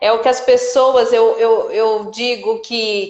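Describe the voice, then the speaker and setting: A woman speaks at a high pitch. She talks at a fairly slow pace. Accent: rural Brazilian. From rural interior of Brazil. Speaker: live-stream host. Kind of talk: live-stream interview.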